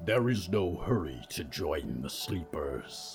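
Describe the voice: In a put-on character voice, the speaker rumbles and growls at a slow pace with big pitch swings, while faint music plays in the background and the room echoes audibly. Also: man, low pitch for a man.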